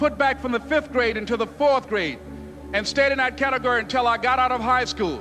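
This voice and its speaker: A man with an American accent speaks at a fairly quick pace in a raised, projected voice, his pitch extremely high and his intonation fairly even, with music in the background. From US South, Miami, Florida. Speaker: motivational speaker. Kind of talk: motivational speech.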